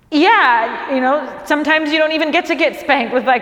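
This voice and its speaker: A woman talks at a moderate pace with ordinary pitch variation while noticeable background noise is heard. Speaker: stand-up comedian. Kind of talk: stand-up comedy special to a small crew.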